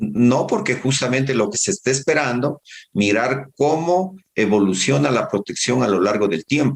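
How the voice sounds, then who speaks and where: Keeping a very even loudness, a man talks at a moderate pace and medium pitch with lively intonation. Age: 60s. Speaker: public health doctor. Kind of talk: interview. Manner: halting.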